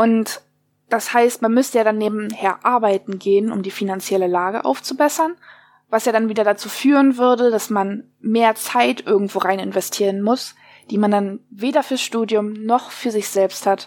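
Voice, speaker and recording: Here is an unremarkable speaking voice. Pitch moves up and down an ordinary amount. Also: woman, fairly high pitch for a woman, moderate pace. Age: 20s. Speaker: interviewee with mental illness. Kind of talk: interview.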